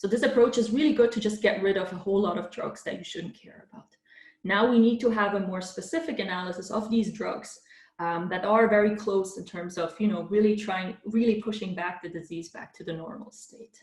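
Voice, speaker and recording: Her loudness swinging widely, a woman talks at a fairly quick pace and medium pitch with ordinary pitch variation. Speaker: professor. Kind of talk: lecture. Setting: virtual conference talk. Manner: fast; hesitant fillers.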